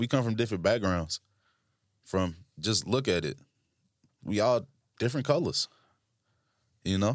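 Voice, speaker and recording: A man with an American accent speaks at a fairly slow pace, with long, frequent pauses. His pitch is fairly low with ordinary variation, and his tone is animated. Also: very clean recording, silent background. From Tennessee (Franklin). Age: 20s. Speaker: podcast co-host. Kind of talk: casual chat.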